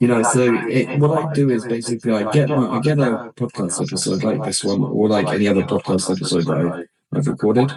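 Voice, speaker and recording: Speaking very fast with hardly any pauses, a man talks with a British accent. His pitch sits in the medium range, with ordinary pitch variation. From Britain. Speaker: podcast host and English teacher. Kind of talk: casual chat.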